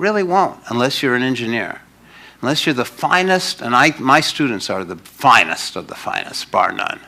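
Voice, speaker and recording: The tone is bright and sharp. Pitch swings very widely. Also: man, medium pitch for a man. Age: 60s. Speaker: lecturer on numerical mathematics. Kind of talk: public lecture. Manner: fast, spewing it out.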